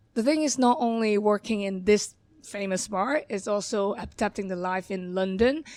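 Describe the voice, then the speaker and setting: A woman at a medium pitch and a moderate pace, with ordinary pitch variation. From Hong Kong. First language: Cantonese. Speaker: bar manager. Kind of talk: podcast interview. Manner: halting.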